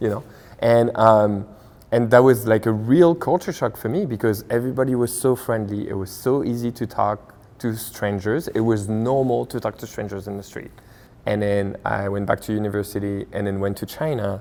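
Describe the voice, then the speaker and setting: A man with a French accent speaks at a fairly low pitch and moderate pace, his tone dark and mellow, with ordinary pitch variation. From France. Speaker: restaurant owner. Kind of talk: interview.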